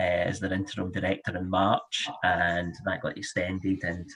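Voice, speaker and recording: A man talks in a Scottish accent. His pitch is fairly low. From Scotland, Glasgow. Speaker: charity fundraising director. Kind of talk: panel webinar discussion.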